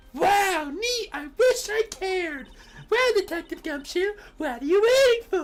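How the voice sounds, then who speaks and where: A squeaky, put-on character voice at an extremely high pitch and a fairly slow pace, with faint music in the background. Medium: game stream. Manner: perky, playful.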